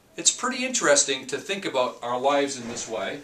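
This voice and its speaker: The voice has lively intonation and a moderate pace, with noticeable background noise behind it. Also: man. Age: 50s. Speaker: leadership coach. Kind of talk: tutorial. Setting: office.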